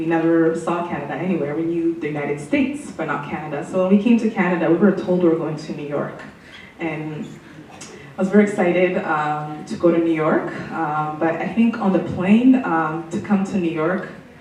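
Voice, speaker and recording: Over noticeable background noise and audible room echo, a woman talks fairly quickly at a fairly low pitch, with ordinary pitch variation and big swings in loudness. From Burundi, then London, Ontario. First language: French. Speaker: city councillor. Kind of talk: personal testimony interview. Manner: hesitant, many fillers.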